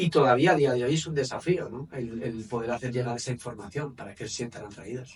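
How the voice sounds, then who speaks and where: With a Spanish accent, a man talks fairly quickly at a medium pitch, with ordinary pitch variation and hardly any pauses. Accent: Spanish (Spain). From Spain, Valencia area. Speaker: men's coach and therapist. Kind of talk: interview.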